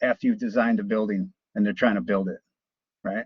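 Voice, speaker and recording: Male voice with lively intonation. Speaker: college instructor teaching drafting software. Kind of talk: live class tutorial. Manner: casual, conversational.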